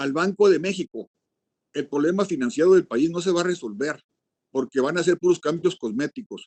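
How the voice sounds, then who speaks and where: A man's high voice at a moderate pace, ordinary pitch variation, and a dry, close sound with no echo. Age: 70s. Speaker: forum participant on rural policy. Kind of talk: virtual forum statement. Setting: video call.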